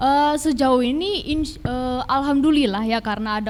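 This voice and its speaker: A woman's intonation rises and falls in a lively way against noticeable background noise. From Tangerang Selatan, Indonesia. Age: 20s. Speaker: law student, teaching intern. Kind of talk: interview.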